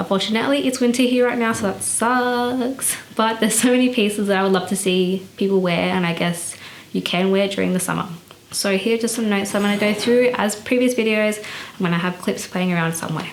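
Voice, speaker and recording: A woman with an Australian accent at medium pitch, fairly quick pace and ordinary pitch variation, amid noticeable background noise and audible room echo. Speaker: fashion vlogger. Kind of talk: casual vlog commentary. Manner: casual, many fillers (um, I guess, like).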